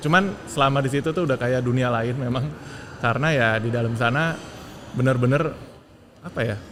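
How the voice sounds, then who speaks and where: A man talks fairly quickly at a medium pitch with ordinary pitch variation, yet leaves long, frequent pauses. Noticeable background noise and audible room echo accompany him. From Jakarta, Indonesia. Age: 40s. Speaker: transport company technology director. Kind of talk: interview.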